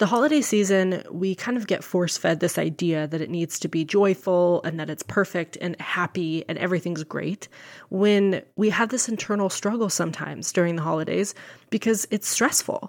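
A woman talks at a moderate pace in an unremarkable speaking voice. Her medium pitch carries lively intonation. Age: 30s. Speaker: nurse and health coach podcast host. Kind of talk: solo podcast monologue. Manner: warm, upbeat.

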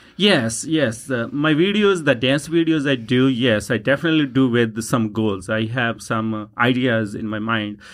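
Over a very clean recording with a silent background, a man talks in a Punjabi accent at medium pitch. He keeps a fairly slow pace with lively intonation. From Punjab, India. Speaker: dancer and social media personality. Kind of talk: interview. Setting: studio. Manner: warm, enthusiastic.

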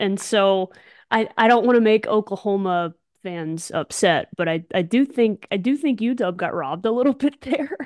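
With an American accent, a woman speaks in an ordinary speaking voice at a moderate pace, her intonation lively. The sound is dry and close with no echo, and the background is quiet. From Alabama, US South. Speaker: podcast co-host, former national team softball player. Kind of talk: casual chat.

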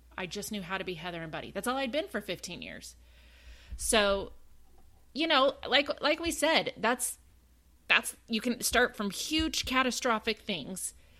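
On a very clean recording with a silent background, a woman with a Southern US accent speaks at a fairly slow pace in a fairly high, bright, sharp voice, with very wide pitch swings and big swings in loudness. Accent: US South. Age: 40s. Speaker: podcast co-host, mother. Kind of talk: casual chat.

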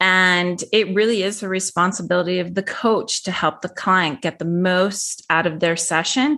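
Against a quiet background, a woman with a plain, everyday voice speaks at a moderate pace and medium pitch, with ordinary pitch variation and hardly any pauses. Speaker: divorce coach. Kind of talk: casual professional conversation.

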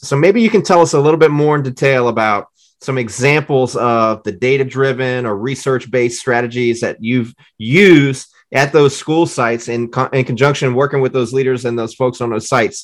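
Against a quiet background, a man with an American accent speaks in an ordinary speaking voice at medium pitch and a moderate pace, with ordinary pitch variation. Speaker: podcast host, former English teacher. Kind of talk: interview conversation.

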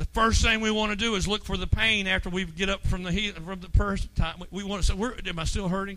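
A man's high, raised and projected voice at a very fast pace, animated in tone. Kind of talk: sermon, preacher in full flow.

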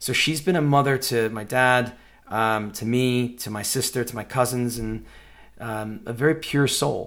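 With an American accent, a man talks at a fairly slow pace in a medium pitch and fairly even intonation, an unremarkable speaking voice. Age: 40s. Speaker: podcast host. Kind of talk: personal monologue.

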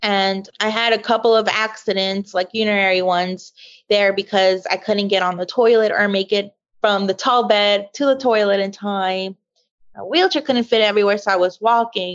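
Against a quiet background, a woman with an American accent has an ordinary speaking voice at medium pitch, talking at a moderate pace with fairly even intonation. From US South, Louisiana bayou. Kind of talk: interview testimony.

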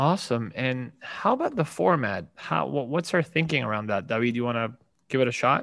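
A man speaks with vocal fry and lively intonation. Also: medium pitch for a man, moderate pace, quiet background. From Venezuela. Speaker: podcast host, former investment banker. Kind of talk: scripted podcast introduction.

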